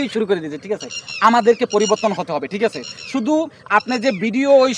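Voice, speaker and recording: A man speaks in a raised, projected voice at a high pitch, sounding animated. Noticeable background noise is present. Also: dry, close sound with no echo. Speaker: social media tutorial youtuber. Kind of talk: tutorial. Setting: outdoors. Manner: repetitive, animated.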